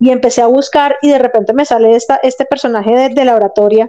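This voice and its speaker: A woman with a Colombian accent speaks high-pitched and fairly quick. Her tone is dark and mellow, and her intonation stays fairly even. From Colombia, Bogotá. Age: 40s. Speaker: physiotherapist. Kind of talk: interview.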